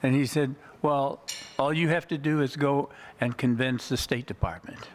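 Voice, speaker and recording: A man's fairly high voice at a moderate pace, with very even loudness, fairly even intonation and noticeable background noise. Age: 80s+. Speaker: award honoree, retired foreign affairs educator. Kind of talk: acceptance speech.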